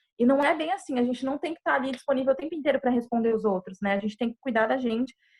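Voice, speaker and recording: Very fast and high-pitched, a woman speaks with ordinary pitch variation. The sound is dry and close, with no echo. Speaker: psychologist giving a talk. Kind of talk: online presentation with live chat.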